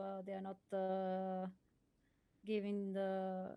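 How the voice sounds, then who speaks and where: A woman speaks with a non-native accent. Her voice has a dark, mellow tone. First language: not English. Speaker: esports co-commentator. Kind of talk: live commentary. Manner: halting.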